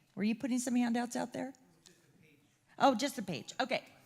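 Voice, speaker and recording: In a very clean recording with a silent background, a woman speaks loudly. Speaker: chamber of commerce CEO, event host. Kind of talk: closing remarks at public forum. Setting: stage with audience, microphone.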